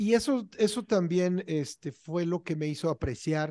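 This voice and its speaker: Against a quiet background with a dry sound and no echo, a man speaks in a dark, mellow tone with lively intonation. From Mexico City. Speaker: independent musician, podcast co-host; podcast co-host. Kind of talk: casual chat. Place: home room. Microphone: video call.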